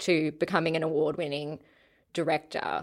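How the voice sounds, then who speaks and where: With an Australian accent, a woman speaks in a bright, sharp tone on a very clean recording with a silent background. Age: 30s. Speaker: podcast host. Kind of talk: casual interview chat.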